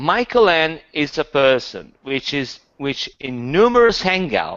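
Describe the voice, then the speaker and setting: There is a non-native accent in this man's speech. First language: not English. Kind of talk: casual chat. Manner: halting.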